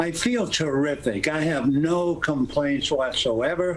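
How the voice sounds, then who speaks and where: Over noticeable background noise, a man with a fairly high voice talks very slowly, with ordinary pitch variation. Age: 80s+. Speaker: retired baseball broadcaster. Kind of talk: interview answer.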